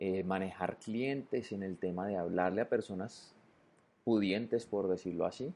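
A man speaks with a fairly low pitch and a dark, mellow tone. His pitch varies in an ordinary way over a quiet background. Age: 30s. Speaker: podcaster. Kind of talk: solo monologue podcast. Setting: at home on the sofa. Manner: casual, conversational.

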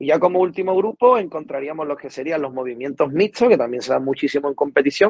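The sound is dry and close, with no echo. A man talks at a fairly quick pace with lively intonation. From Cádiz, Andalusia, Spain. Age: 20s. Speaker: strength and conditioning coach. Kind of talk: interview.

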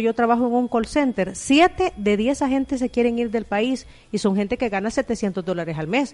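A woman talks at a fairly quick pace with lively intonation and a fairly high pitch. She has a normal speaking voice, and the sound is dry and close with no echo. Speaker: radio host. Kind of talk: radio interview.

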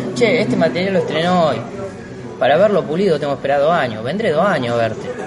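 A man's voice swings very widely in pitch, with music in the background and audible echo in the room. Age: 30s. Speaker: stand-up comedian. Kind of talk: casual interview.

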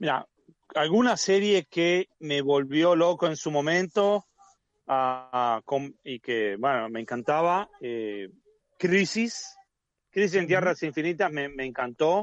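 A man's fairly high voice at a very slow pace, with long, frequent pauses and lively intonation. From Argentina. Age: 40s. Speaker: comics YouTuber. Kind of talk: casual interview chat. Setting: video call.

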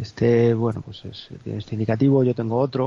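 A man talks at a moderate pace and medium pitch with ordinary pitch variation. His voice is somewhat breathy. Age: 50s. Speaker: radio show contributor. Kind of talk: casual chat.

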